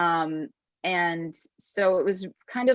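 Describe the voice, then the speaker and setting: Against a quiet background, a woman with a medium pitch and an unremarkable speaking voice talks with ordinary pitch variation, the sound dry and close with no echo. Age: 20s. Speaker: singer-songwriter. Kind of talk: interview. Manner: casual, many fillers.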